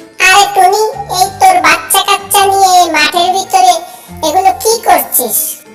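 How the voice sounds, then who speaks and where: A squeaky, cartoonish character voice, female-sounding and extremely high in pitch for a woman. It moves at a moderate pace over faint music in the background. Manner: blunt, loud.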